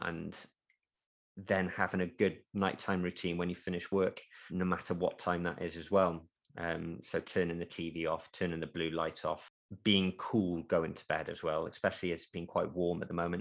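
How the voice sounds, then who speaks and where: With a British accent, a man speaks in a very deep, low voice at a moderate pace, his intonation flat and monotone but his loudness swinging widely. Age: 30s. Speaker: physician's associate, ex-marine. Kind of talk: casual interview.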